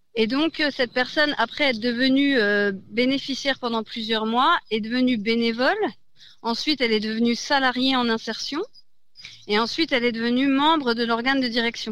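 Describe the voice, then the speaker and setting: The woman's voice is high-pitched, and her loudness stays very even. She keeps a moderate pace on a very clean recording with a silent background. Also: ordinary pitch variation. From France, Besançon. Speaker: charity branch head. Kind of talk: radio interview.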